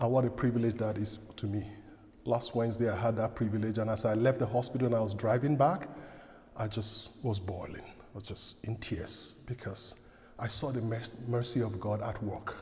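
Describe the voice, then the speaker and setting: A man talks at a moderate pace in a normal speaking voice. His pitch is medium and his intonation fairly even. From outside Canada, from a direct-speaking culture. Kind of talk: parish talk.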